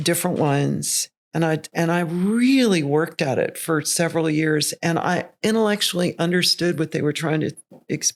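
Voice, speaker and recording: The recording is very clean, with a silent background. A woman speaks at a fairly low pitch with vocal fry and ordinary pitch variation. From Tennessee. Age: 60s. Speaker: singer. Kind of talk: interview.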